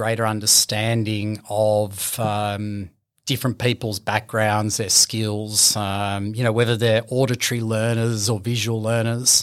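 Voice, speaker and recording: A man with an Australian accent speaks at a fairly slow pace in a flat monotone, hardly pausing at all, on a very clean recording with a silent background. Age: 40s. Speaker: business owner. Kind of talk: interview. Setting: studio.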